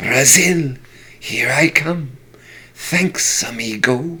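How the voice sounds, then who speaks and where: In a put-on character voice, a man speaks at a very slow pace with a fairly high pitch, a hissing quality and a raspy edge. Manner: casual, thankful.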